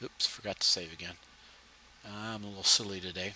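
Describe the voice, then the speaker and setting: The man's voice carries a bright, sharp tone. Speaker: instructor. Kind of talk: tutorial. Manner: fast.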